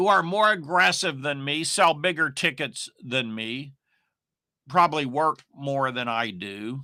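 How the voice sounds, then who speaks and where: A man with a fairly high pitch and a bright, sharp tone in a very clean recording with a silent background. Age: 60s. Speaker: online marketing coach. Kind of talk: casual monologue. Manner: rambling, filler-heavy.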